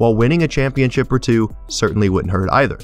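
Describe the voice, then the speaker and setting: A man speaks with music playing in the background. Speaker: sports commentator. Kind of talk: sports analysis narration.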